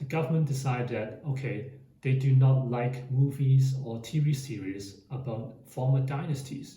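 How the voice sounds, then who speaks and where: A man speaks at a fairly slow pace with a medium pitch and a dark, mellow tone. His voice is somewhat breathy, his intonation fairly even, and audible room echo surrounds it. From Hong Kong. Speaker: finance YouTuber. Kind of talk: explainer monologue.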